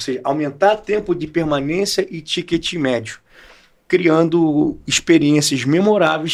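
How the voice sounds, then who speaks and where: A man with a Rio de Janeiro accent, fairly high pitch and ordinary pitch variation, at a moderate pace. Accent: carioca. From Brazil, Rio de Janeiro. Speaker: entrepreneur and professor. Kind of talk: podcast interview.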